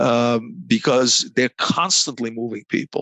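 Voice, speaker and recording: A man is speaking. He has a Croatian accent. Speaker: negotiation consultant. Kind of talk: interview. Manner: halting, many repeated words.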